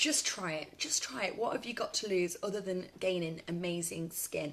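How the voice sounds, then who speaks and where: In a British accent, a woman talks with an animated tone and lively intonation at a medium pitch. Noticeable background noise runs under her voice. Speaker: makeup seller and beauty demonstrator. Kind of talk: live makeup tutorial and sales pitch. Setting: live stream on Facebook. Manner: fast.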